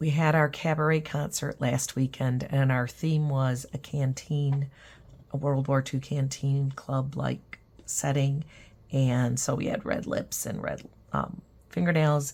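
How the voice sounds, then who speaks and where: A woman talks at a fairly slow pace. Her voice is very deep and low, and somewhat breathy. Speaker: watercolor teacher. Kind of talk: tutorial. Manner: casual, hesitant with fillers.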